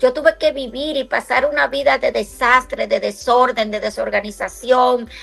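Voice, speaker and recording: A woman talks at a moderate pace with hardly any pauses. Music plays in the background. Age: 60s. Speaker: radio host. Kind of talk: religious talk. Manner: halting.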